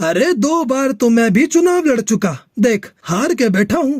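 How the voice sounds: Putting on a cartoonish character voice, a man speaks at a moderate pace in an extremely high pitch.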